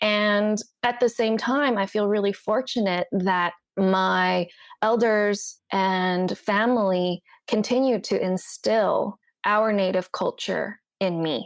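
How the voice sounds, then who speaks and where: In a very clean recording with a silent background, a woman with a Cantonese accent speaks very slowly at a medium pitch, her loudness very even and her intonation fairly even. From Hong Kong, moved to Canada at eight. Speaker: therapist. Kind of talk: podcast interview.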